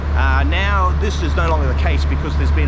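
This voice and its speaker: Loud background noise surrounds a man's voice. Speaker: travel vlogger. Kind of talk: walking tour commentary. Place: station. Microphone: phone near.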